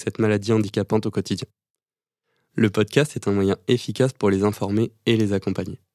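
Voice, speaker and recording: A man with a fairly low pitch and a dark, mellow tone speaks at a fairly quick pace in a monotone, flat intonation, with a dry, close sound, no echo, and a very clean recording with a silent background. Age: 20s. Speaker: pharmacy student, podcast host. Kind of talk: scripted narration.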